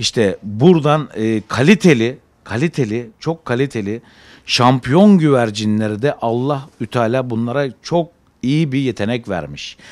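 At a fairly slow pace, a man with a medium pitch speaks with lively intonation against a quiet background. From Izmir, Turkey. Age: 40s. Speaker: pigeon breeder. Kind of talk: interview. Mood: enthusiastic, calm. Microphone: handheld.

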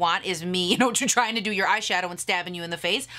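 A woman talking at a very fast pace, animated in tone, with ordinary pitch variation. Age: 30s. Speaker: beauty YouTuber. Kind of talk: casual Q&A vlog. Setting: home video recording. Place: home room.

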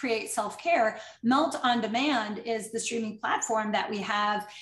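A woman with a high pitch talks at a fairly slow pace. Room echo is audible in the recording. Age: 50s. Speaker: fitness educator and method founder; fitness educator. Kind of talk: webinar presentation. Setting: live online webinar. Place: home room.

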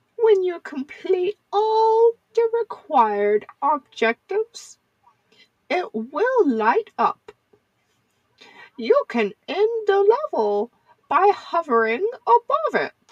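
This woman speaks at a very slow pace with long, frequent pauses. Her extremely high pitch moves in very wide swings. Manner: sweet, gently teasing.

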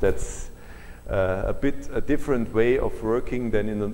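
With a German accent, the words come at a moderate pace. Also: man. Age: 60s. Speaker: solar energy researcher. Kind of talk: lecture. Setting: lecture hall with audience.

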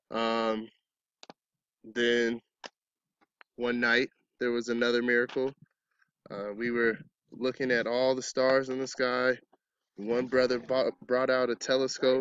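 A man with an American accent, monotone and flat, at a fairly slow pace with long, frequent pauses, in a dry sound with no echo. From Arizona. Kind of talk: testimony. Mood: calm, reflective. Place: open country. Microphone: phone near.

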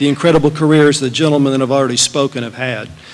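Noticeable background noise sits behind a man with an American accent. His fairly high voice moves at a very fast pace with fairly even intonation. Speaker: business executive. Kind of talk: speech. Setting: stage with audience.

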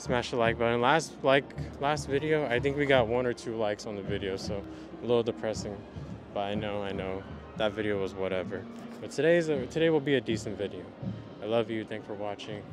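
A man at a fairly quick pace, dry sound with no echo, clear music in the background. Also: ordinary pitch variation. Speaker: vintage fashion vlogger. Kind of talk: casual vlog chat. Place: street. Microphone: handheld.

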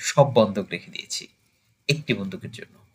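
A man speaks in a somewhat breathy voice. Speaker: amateur poetry reciter. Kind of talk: poetry reading.

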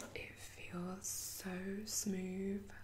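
A woman whispers, soft-spoken. Light background noise can be heard. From UK. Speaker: ASMR creator. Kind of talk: ASMR unboxing, soft-spoken talk to camera. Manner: soft-spoken, whispery. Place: home room. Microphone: webcam.

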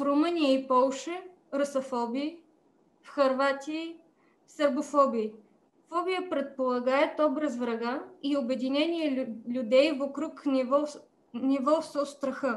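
A woman with a Bulgarian accent, high pitch, fairly even intonation, a very slow pace and long, frequent pauses. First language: Bulgarian (speaking Russian). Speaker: politician. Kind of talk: prepared speech. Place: home room. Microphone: video call.

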